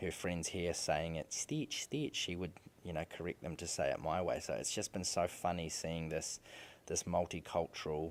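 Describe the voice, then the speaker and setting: On a very clean recording with a silent background, a voice with a New Zealand accent moves at a moderate pace with fairly even intonation. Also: man, very deep, low pitch for a man. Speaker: podcast host, father. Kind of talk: casual monologue. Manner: repetitive, halting restarts.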